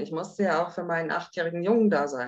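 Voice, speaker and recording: In a plain, everyday voice, a woman speaks with fairly low pitch and lively intonation. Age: 50s. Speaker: widow sharing personal story. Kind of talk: interview testimony.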